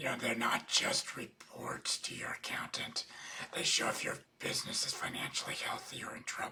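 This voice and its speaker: A man is whispering at a moderate pace. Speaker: accountant and business coach. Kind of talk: webinar lecture.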